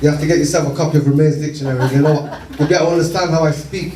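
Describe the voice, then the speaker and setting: Audible room echo surrounds a man who speaks in an animated tone with a fairly high pitch. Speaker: community campaigner. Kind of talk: speech to community meeting.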